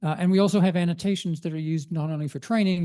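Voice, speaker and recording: Against a quiet background, a man speaks at a very fast pace. His tone is dark and mellow, his intonation fairly even. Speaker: DICOM standard editor and imaging informatics consultant. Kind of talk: conference presentation.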